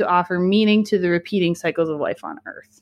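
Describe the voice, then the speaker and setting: Over a silent background in a very clean recording, a woman uses a normal speaking voice at medium pitch with ordinary pitch variation. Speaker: podcast host. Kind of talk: casual chat.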